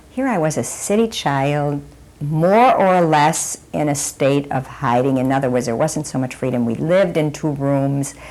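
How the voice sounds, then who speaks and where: A woman talks at a moderate pace. Her voice is very deep and low. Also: ordinary pitch variation. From Germany and Belgium. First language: German. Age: 60s. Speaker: Holocaust survivor. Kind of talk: oral history testimony.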